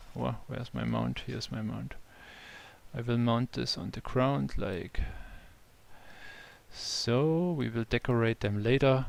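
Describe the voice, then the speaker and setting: A man talks with a German accent. His pace is fairly slow, with long, frequent pauses. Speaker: game developer. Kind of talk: live stream tutorial. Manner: halting.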